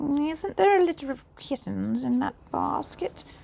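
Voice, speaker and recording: A woman puts on a character voice and speaks at a fairly slow pace. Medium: read story. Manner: haughty, curious.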